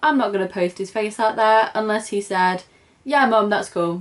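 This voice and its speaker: A woman's lively intonation in a British accent. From UK. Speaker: crochet vlogger. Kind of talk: casual vlog introduction. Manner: chatty, informal.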